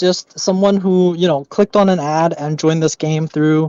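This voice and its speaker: This man has a dark, mellow tone and a Canadian accent. He speaks at a moderate pace, and the sound is dry and close with no echo. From China, moved to Canada young. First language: Mandarin Chinese. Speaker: gamer, kingdom leader. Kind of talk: casual interview.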